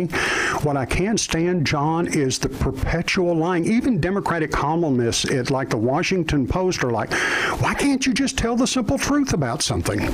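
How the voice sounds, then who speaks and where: A man's high-pitched voice with an American accent, very wide pitch swings, very even loudness and hardly any pauses, over noticeable background noise. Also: moderate pace. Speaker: radio show host. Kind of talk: live political talk radio commentary.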